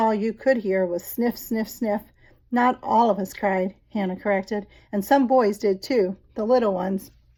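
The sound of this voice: Reading voice, unforced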